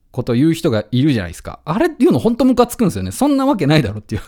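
In a relaxed tone, the speaker's dark, mellow voice moves through very wide pitch swings. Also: man. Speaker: radio host and musician. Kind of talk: casual radio monologue. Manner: relaxed, with frequent laughter.

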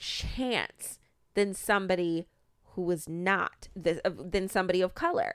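A woman with a normal speaking voice and an American accent speaks fairly slowly at medium pitch, with ordinary pitch variation. The recording is very clean, with a silent background. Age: 30s. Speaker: podcast co-host and small business owner. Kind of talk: casual chat.

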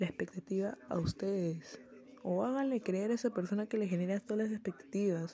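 Over noticeable background noise, a woman speaks at a moderate pace in a medium pitch, with lively intonation and very even loudness. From Peru. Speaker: podcaster. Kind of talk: casual monologue.

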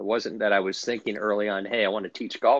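A man's fairly low-pitched voice, a plain, everyday voice, with an American accent and fairly even intonation, dry, close sound with no echo against a quiet background. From US, Washington DC area. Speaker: golf instructor. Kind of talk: interview.

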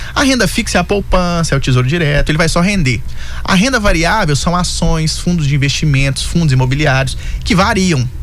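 In a mineiro accent, a man with a high pitch talks at a fairly quick pace with lively intonation and very even loudness, amid noticeable background noise and audible room echo. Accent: Belo Horizonte (mineiro). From Belo Horizonte, Brazil. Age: 20s. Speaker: investor and financial consultant. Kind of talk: radio interview.

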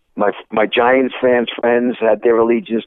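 A man with a New York accent. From Brooklyn, New York. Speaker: sports broadcaster. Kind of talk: radio interview.

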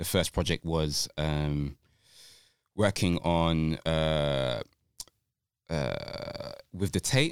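Very slow speech from a man with a London accent, his very deep, low voice showing ordinary pitch variation, with long, frequent pauses and a dry, close sound with no echo. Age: 30s. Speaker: dancer and choreographer. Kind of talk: casual chat. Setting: studio.

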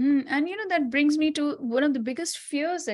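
A woman's lively intonation over a quiet background. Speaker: radio host. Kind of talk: casual chat.

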